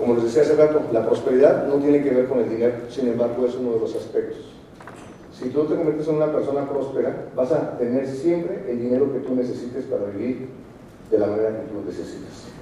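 A man's medium-pitched voice at a fairly quick pace with ordinary pitch variation, amid audible room echo and noticeable background noise. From Mexico, Morelia (Michoacán). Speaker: motivational speaker, network marketer, actor. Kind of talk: motivational talk.

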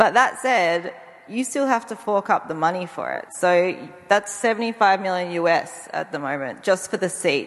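Amid noticeable background noise, a woman speaks fairly slowly at a medium pitch with lively intonation. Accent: Australian. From Tasmania, Australia. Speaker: space researcher, anthropologist. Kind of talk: panel discussion.

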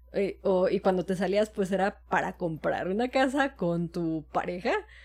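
A woman at medium pitch and moderate pace, a plain, everyday voice, on a very clean recording over a silent background. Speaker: podcast co-host. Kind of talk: casual chat.

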